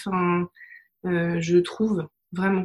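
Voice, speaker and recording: The speaker here is a woman. She sounds somewhat breathy. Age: 30s. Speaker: holistic therapist and digital project manager. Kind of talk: interview testimony.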